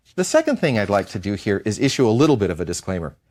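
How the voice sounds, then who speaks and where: A man with an American accent on a very clean recording against a silent background. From United States. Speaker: history professor. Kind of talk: lecture.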